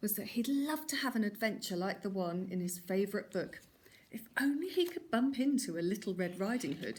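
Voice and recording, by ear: Here someone is reading aloud in a natural voice. The intonation moves in a lively way.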